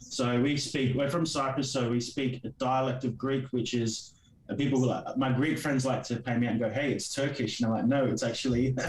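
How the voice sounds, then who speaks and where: With an Australian accent, a man speaks in a monotone, flat intonation at very even loudness, with noticeable background noise and audible room echo. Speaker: comic creator. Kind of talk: interview. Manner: halting.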